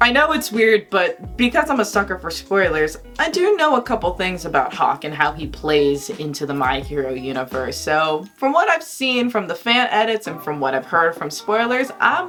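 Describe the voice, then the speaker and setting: A loud woman speaks in an animated tone with very wide pitch swings and hardly any pauses. Music plays in the background. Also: medium pitch for a woman, moderate pace. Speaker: YouTuber. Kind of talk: casual vlog commentary. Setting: bedroom.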